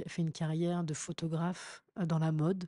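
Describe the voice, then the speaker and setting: In a dry, close recording with no echo and a quiet background, a woman speaks at a fairly low pitch with a dark, mellow tone. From France, Paris. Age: 40s. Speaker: DJ and communications manager. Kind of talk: interview storytelling.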